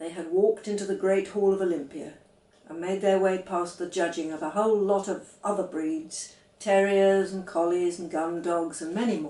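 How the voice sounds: Amid audible room echo, a woman speaks at a moderate pace in a dark, mellow, fairly low voice with fairly even intonation.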